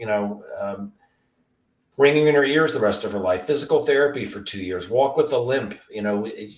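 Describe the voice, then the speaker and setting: This speaker has an ordinary speaking voice, a moderate pace and lively intonation. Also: man. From US Mid-Atlantic. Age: 60s. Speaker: retired podiatrist. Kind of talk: casual interview.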